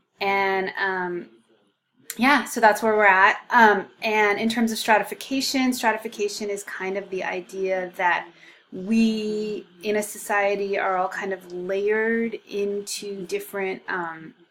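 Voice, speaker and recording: Here a woman with an unremarkable speaking voice speaks at a fairly slow pace, her medium pitch carried in fairly even intonation. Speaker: sociology instructor. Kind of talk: recorded course lecture. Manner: casual, many filler ums.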